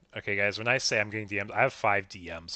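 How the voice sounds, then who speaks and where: Over a quiet background, a man talks fairly quickly in a bright, sharp tone. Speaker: streamer and card game commentator. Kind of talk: live commentary. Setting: livestream. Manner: animated.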